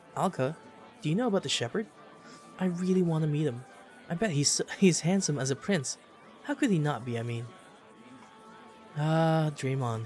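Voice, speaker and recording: Music plays in the background. The speech moves at a moderate pace, broken by long, frequent pauses. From Philippines. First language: Tagalog. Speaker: video game streamer. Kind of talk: let's play commentary reading game dialogue aloud. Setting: live stream. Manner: halting.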